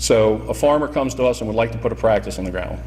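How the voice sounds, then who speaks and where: Noticeable background noise sits under this recording. Over it, a man rattles off his words very fast. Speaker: soil conservation district official. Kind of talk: slide presentation. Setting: roundtable meeting with audience. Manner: loud.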